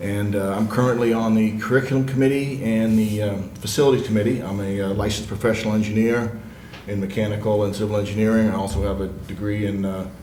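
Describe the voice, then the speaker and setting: The speaker talks very fast with fairly even intonation. Room echo is audible, and background noise is noticeable. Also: man, fairly low pitch for a man. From Maine (Old Town). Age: 60s. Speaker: school board candidate, engineer. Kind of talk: candidate forum answer. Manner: halting, many fillers.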